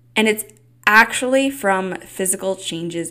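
A woman is speaking. Her pace is fairly slow. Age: 20s. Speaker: podcast host. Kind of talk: solo podcast monologue. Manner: casual, animated.

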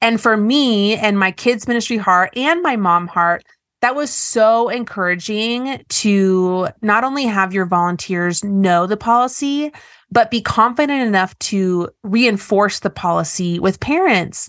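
An ordinary speaking voice from a woman, fairly high in pitch, at a fairly slow pace with ordinary pitch variation and a quiet background. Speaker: podcast host. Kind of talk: casual interview conversation.

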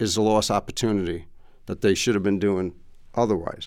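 A man with a New York accent and a fairly low pitch. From New York, Queens. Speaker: former customs official and trade consultant. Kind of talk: interview.

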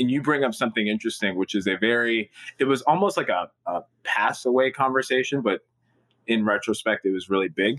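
With an American accent, a man talks at a fairly quick pace in an unremarkable speaking voice. His pitch is medium, with ordinary variation and very even loudness. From Newark, New Jersey. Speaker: startup founder and CEO. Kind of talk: interview.

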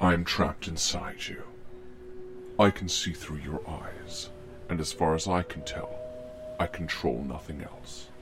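Using a put-on character voice, a man talks at a fairly slow pace with a very deep, low pitch and long, frequent pauses while clear music plays in the background. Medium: audio drama. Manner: calm and controlling, calls him friend.

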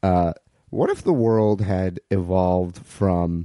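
A man speaks with a very deep, low pitch and a dark, mellow tone. The sound is dry and close, with no echo. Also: quiet background. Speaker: improviser. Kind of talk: casual chat. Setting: on a couch at the host's home.

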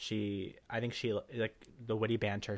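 On a very clean recording with a silent background, a soft-spoken man with an American accent mumbles in a fairly low pitch. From Cuban American, US. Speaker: podcast co-host. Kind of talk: casual chat between co-hosts. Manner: shy, soft-spoken, mumbles.

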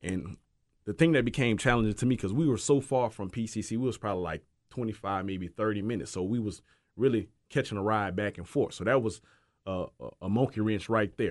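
A man with a New Orleans accent, fairly low in pitch, with ordinary pitch variation and a fairly quick pace, over a quiet background. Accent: New Orleans accent, noticeable. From New Orleans, Louisiana. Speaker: former football player. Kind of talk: casual chat. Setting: studio.

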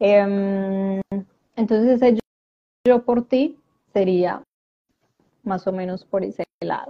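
This woman talks at a very slow pace, her pitch varying in an ordinary way. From Colombia, Medellín. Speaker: life coach and transgenerational therapist. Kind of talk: live-stream interview. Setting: live video stream.

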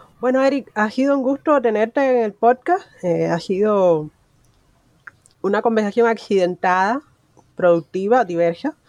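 A woman's fairly high-pitched voice at a fairly slow pace, with long, frequent pauses and a dry, close sound with no echo. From Cuba. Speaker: podcast host. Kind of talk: interview.

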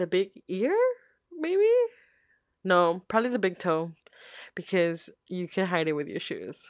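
At a fairly slow pace, a woman talks with ordinary pitch variation and long, frequent pauses. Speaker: podcast host. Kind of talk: casual solo Q&A chat.

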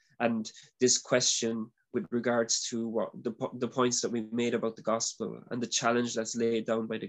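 Here a man speaks in an Irish accent at a medium pitch. His intonation is monotone and flat, at a moderate pace. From Ireland. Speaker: former religious brother. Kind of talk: interview. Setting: video call.

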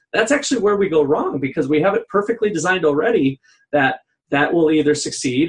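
A man speaks quickly, at a fairly quick pace, in a somewhat breathy voice. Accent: American. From Minnesota. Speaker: economics professor, podcast co-host. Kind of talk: casual discussion.

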